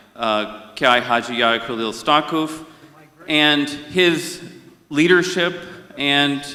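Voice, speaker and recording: A man's medium-pitched voice in an American accent at a very slow pace, with audible room echo. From India. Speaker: conference session moderator. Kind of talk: conference speech.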